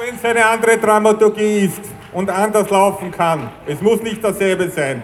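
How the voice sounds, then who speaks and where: Over noticeable background noise, the speaker talks at a moderate pace with fairly even intonation while the loudness swings widely. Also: man, high pitch for a man. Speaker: activist speaker. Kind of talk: rally speech.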